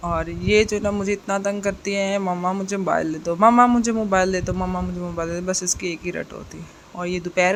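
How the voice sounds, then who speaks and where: Speaking at a moderate pace over noticeable background noise, a woman keeps a medium pitch and a monotone, flat intonation. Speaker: vlogger, mother. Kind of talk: vlog voice-over.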